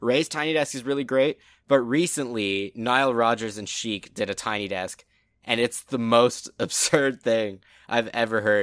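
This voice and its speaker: The voice has a bright, sharp tone and ordinary pitch variation, moving at a moderate pace in a very clean recording with a silent background. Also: man. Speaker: football podcast co-host. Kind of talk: casual chat.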